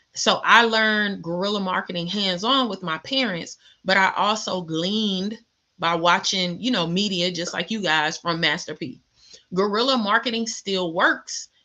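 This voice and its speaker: A woman talks at a moderate pace in a bright, sharp, animated tone against a quiet background. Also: medium pitch for a woman, ordinary pitch variation. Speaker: small business coach. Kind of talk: live Q&A stream.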